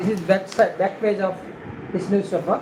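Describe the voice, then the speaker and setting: A woman at a medium pitch amid noticeable background noise. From India. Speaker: livestreamer. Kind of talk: casual live stream, reading newspaper headlines. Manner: halting.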